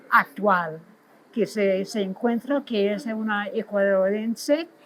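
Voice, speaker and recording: In an English accent, the voice moves at a very slow pace with ordinary pitch variation. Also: woman. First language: English (speaking Spanish). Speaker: literary scholar. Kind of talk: interview. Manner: halting, with restarts.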